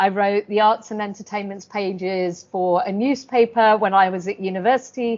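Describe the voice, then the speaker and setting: At a moderate pace, a woman with a London accent speaks at a medium pitch in a monotone, flat intonation. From South London, England. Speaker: chartered accountant and business adviser. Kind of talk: interview.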